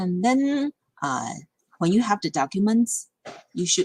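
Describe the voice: Delivered at a fairly slow pace with lively intonation, the voice carries vocal fry and a slightly husky edge in a dry, close sound with no echo.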